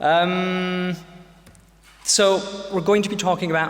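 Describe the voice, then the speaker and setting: A man speaks at a very slow pace. Noticeable background noise and audible room echo surround him. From UK. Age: 40s. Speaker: pediatrician and lecturer. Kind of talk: lecture. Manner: many filler sounds (um, uh).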